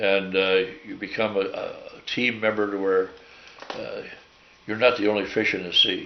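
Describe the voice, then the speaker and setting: There is audible room echo and noticeable background noise as a man with an American accent speaks with long, frequent pauses. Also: moderate pace. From US Midwest, St. Louis. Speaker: war veteran. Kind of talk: oral history interview. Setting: at home. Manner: halting.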